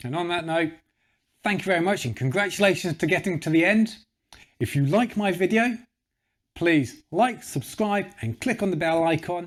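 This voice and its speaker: In a British accent, a man speaks at high pitch with an enthusiastic tone and lively intonation. Long, frequent pauses break up his speech in a very clean recording with a silent background. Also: moderate pace. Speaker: vegan YouTuber, documentary reviewer. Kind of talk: casual video review monologue.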